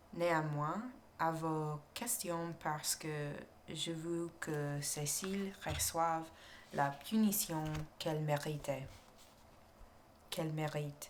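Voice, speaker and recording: A soft-spoken woman with a very deep, low pitch and an American accent, at a very slow pace with fairly even intonation and long, frequent pauses. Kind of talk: ASMR story reading, murder mystery. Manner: soft-spoken, relaxing.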